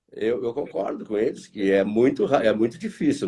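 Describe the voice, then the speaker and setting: A man's voice with very wide pitch swings and vocal fry. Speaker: market analyst, consultancy director. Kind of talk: live stream interview. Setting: online live stream. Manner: hesitant, repeats words.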